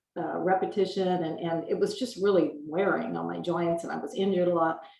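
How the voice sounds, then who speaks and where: A woman speaking at a fairly quick clip, with audible room echo. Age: 60s. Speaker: gym member. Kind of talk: casual interview chat.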